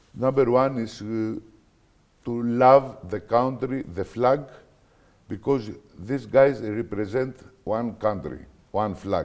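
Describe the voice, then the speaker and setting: A man with a Greek accent speaks at medium pitch. His pace is very slow, with long, frequent pauses. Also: ordinary pitch variation. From Greece. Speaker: basketball coach. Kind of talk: interview. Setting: studio. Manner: halting.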